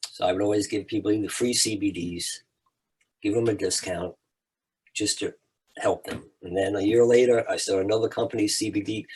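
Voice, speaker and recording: Speaking at a moderate pace, a man with a fairly low pitch sounds somewhat breathy and keeps his intonation fairly even. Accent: American. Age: 70s. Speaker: podcast host, CBD business owner. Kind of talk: casual interview chat.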